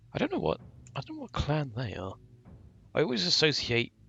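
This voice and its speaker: A man is speaking. Music plays in the background. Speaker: gaming video creator. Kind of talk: let's play commentary.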